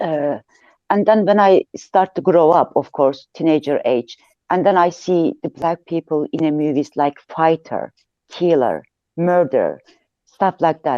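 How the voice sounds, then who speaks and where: A woman with a Turkish accent speaks at a fairly slow pace in a fairly low pitch, with ordinary pitch variation. Her tone is dark and mellow, and the sound is dry and close with no echo. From Turkey. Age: 50s. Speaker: audience speaker in online discussion. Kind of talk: casual personal account. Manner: halting, hesitant.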